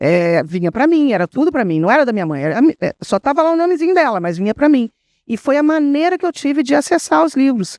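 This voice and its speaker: Talking at a very fast pace against a quiet background, a woman uses a high pitch with very wide pitch swings. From interior of Rio de Janeiro state, Brazil. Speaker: writer on a literary panel. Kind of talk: panel discussion.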